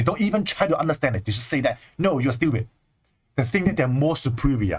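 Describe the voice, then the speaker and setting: With a Chinese accent, a man speaks at a fairly quick pace and fairly high pitch, somewhat breathy. His tone is animated and his intonation lively. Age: 20s. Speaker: spiritual teacher. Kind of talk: livestream talk.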